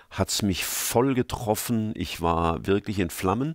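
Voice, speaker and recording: A man is recorded very cleanly against a silent background, with a dry, close sound and no echo. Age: 60s. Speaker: preacher. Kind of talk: interview. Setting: studio.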